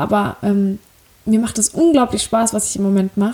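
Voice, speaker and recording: Somewhat breathy, a woman speaks at a fairly high pitch. Her tone is dark and mellow. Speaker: podcaster. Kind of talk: casual monologue. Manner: hesitant, many fillers.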